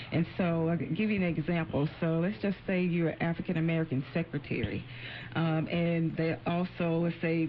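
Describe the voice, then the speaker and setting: A woman's somewhat breathy, fairly low-pitched voice with fairly even intonation. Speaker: employment attorney. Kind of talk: radio interview. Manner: halting, repeats words.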